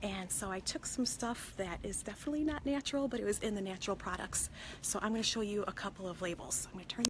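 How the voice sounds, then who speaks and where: A woman whispers quietly. She speaks at a very fast pace. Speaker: consumer product safety vlogger. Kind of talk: casual live vlog from a store. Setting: in a store. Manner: hushed, partly whispering; hesitant, many fillers.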